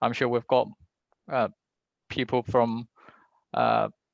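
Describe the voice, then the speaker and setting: At a medium pitch and a moderate pace, a man talks in a dry, close sound with no echo. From Hong Kong. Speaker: town planner. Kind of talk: panel discussion answer. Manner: hesitant, many fillers.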